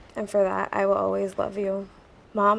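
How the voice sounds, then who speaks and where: Soft-spoken, a woman talks at a moderate pace. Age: young. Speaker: recovering drug addict. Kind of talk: reading a letter aloud.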